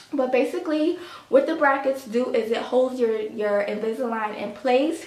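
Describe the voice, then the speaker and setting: A woman with a high-pitched voice speaks in a room with audible echo and noticeable background noise. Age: 30s. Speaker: lifestyle vlogger. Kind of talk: casual vlog talk.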